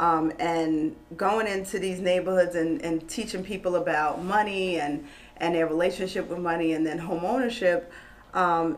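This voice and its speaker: With a New York accent, a woman speaks at a moderate pace. Her fairly low pitch shows ordinary variation. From New York, Queens. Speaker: former loan officer and real estate investor. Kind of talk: casual interview on a live stream. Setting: live online video stream. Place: meeting room.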